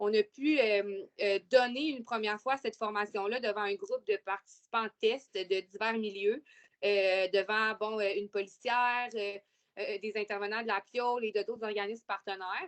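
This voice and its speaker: This woman speaks with a Quebec accent at a fairly high pitch, her intonation fairly even. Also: moderate pace. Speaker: webinar presenter, youth intervention worker. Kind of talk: webinar presentation. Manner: hesitant, many fillers.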